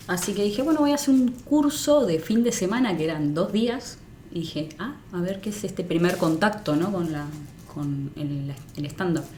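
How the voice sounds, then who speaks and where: Amid audible room echo, a woman with a fairly low, somewhat breathy voice speaks fairly slowly with very wide pitch swings. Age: 30s. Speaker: comedian. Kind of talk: podcast interview.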